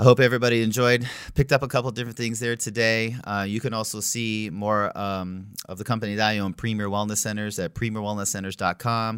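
A man with an American accent speaks in an unremarkable speaking voice at a medium pitch and a fairly quick pace. His intonation is fairly even, and the recording is very clean with a silent background. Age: 40s. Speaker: chiropractor and podcast host. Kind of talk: casual interview chat.

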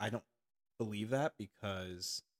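A man with an ordinary speaking voice speaks at a fairly low pitch and moderate pace, on a very clean recording with a silent background and a dry, close sound with no echo. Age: 30s. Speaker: nurse and fitness instructor. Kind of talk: casual chat.

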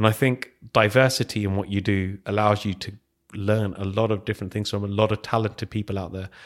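Talking at a very fast pace, a man with a fairly low pitch speaks in a monotone, flat intonation with a London accent. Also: very clean recording, silent background. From West London. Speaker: tech evangelist, former teacher. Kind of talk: casual interview. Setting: studio.

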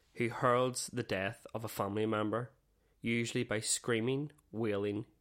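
This is plain reading aloud, with intonation that stays fairly even.

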